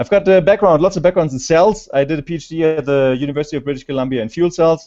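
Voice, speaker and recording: This is a man speaking. He has a German accent. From Germany. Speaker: scientist presenter. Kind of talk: conference talk. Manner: halting. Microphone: slow internet connection.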